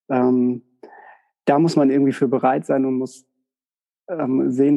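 At a fairly slow pace, a man with a medium pitch speaks in a dark, mellow tone. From northern Germany (Westerkappeln). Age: 40s. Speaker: psychotherapist. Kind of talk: interview.

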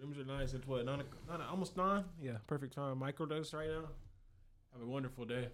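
An unremarkable speaking voice from a man, fairly high in pitch, at a fairly quick pace with ordinary pitch variation. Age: 20s. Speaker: rapper and optician. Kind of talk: casual chat.

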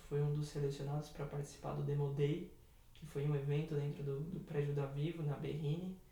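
Man at a moderate pace, with audible room echo. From Brazil, São Paulo. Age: 20s. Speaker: cancer survivor and university student. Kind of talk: interview testimony.

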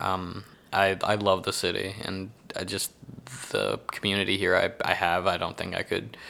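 A man speaks with a slight Texan accent and vocal fry. His pitch is very deep and low, and his pace is moderate. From Houston, Texas. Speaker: comedian. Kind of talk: casual interview chat.

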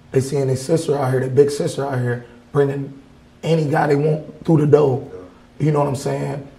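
With an American accent, a man at a fairly high pitch talks at a fairly quick pace in a monotone, flat delivery, and the room echo is audible. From Racine, Wisconsin. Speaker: mixed media artist. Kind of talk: interview.

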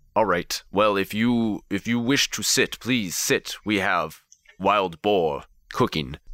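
A man puts on a character voice with a fairly low pitch, speaking at a fairly slow pace. The recording is very clean, with a silent background. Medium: actual play. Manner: formal, stiff phrasing.

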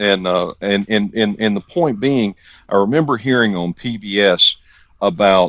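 An ordinary speaking voice from a man, fairly low in pitch, at a fairly slow pace. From US South. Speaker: podcast co-host. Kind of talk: casual chat.

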